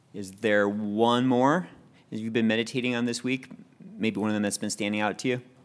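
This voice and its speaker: An ordinary speaking voice from a man, medium in pitch, at a fairly quick pace with fairly even intonation. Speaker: Bible study teacher. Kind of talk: Bible study teaching and group discussion. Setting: in-person group meeting, people seated on floor.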